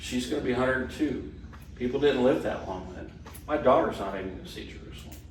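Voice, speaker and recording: A man talks at a very fast pace with lively intonation and big swings in loudness. The recording has audible room echo and noticeable background noise. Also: medium pitch for a man. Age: 60s. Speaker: Bible study teacher. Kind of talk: class discussion. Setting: church hall class.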